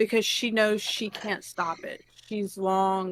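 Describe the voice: Text in plain reading aloud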